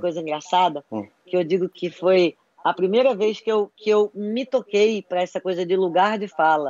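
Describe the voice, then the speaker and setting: In a normal speaking voice with ordinary pitch variation, the speaker goes on with hardly any pauses. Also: woman. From Brazil, Recife (raised from 11 to 30, born in Rio). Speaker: writer and screenwriter. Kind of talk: casual interview chat.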